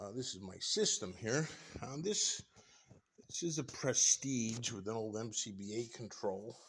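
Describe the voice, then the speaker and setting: A plain, everyday voice from a man at a fairly slow pace, with ordinary pitch variation. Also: medium pitch for a man. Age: 60s. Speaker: tradesman showing his workshop. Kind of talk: casual walkthrough tour. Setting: indoors in workshop. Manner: relaxed, with many fillers.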